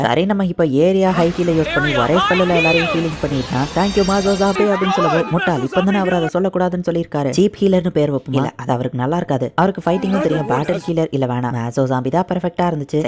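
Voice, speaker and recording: Over noticeable background noise, a man speaks with a high pitch, very even loudness and ordinary pitch variation. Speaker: anime recap narrator. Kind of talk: anime story recap narration. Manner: casual, conversational.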